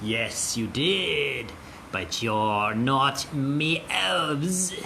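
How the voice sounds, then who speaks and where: Putting on a character voice, a man speaks at a very slow pace. His pitch is medium for a man, with clear background noise behind him. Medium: actual play. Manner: haughty, menacing.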